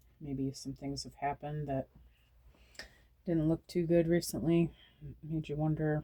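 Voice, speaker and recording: The voice is quiet. It comes with long, frequent pauses. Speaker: tarot reader. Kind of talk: tarot reading. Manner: quiet, hushed; repetitive, halting.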